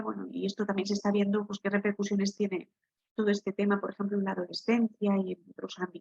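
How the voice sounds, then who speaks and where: A soft-spoken, somewhat breathy woman at medium pitch, monotone and flat, in a dry, close sound with no echo. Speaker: occupational therapist. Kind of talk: online workshop talk.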